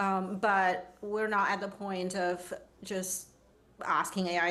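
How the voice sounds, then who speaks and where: There is audible room echo around the recording. A woman speaks at a very slow pace. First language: not English. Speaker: designer and futurist. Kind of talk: panel discussion.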